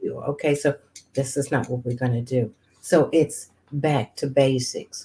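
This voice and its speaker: Her voice is very deep and low, somewhat breathy, with a dark, mellow tone and fairly even intonation as this woman speaks at a fairly slow pace. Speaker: women's ministry host and writer. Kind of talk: interview.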